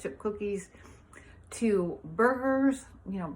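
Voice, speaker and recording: Her voice somewhat breathy, a woman speaks at a fairly high pitch. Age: 70s. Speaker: vegan health advocate, fitness instructor. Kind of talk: personal testimony. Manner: enthusiastic.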